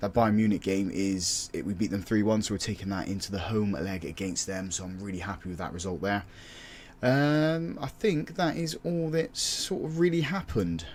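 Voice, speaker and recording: A man speaks in an English accent at a fairly low pitch, his pitch swinging very widely. He keeps a moderate pace. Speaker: football manager gaming youtuber. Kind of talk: gameplay commentary. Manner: casual, halting with fillers.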